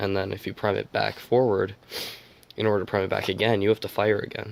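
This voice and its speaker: A man's fairly low, very fast, flat monotone voice with vocal fry. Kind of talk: product review talk to camera. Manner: casual, hesitant.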